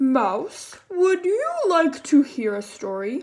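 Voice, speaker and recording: A woman uses a put-on character voice, high in pitch. She speaks very slowly with very wide pitch swings. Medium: read story. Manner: slow, drowsy, kind.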